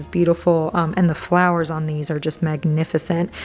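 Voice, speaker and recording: A woman talks at a fairly low pitch. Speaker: plant vlogger. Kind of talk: casual vlog chat. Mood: enthusiastic, admiring. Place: shop.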